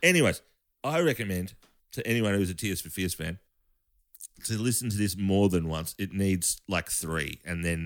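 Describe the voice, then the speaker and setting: At a moderate pace, a man with an Australian accent talks in a fairly low voice with ordinary pitch variation, on a very clean recording with a silent background. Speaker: bass player. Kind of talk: casual chat. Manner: halting.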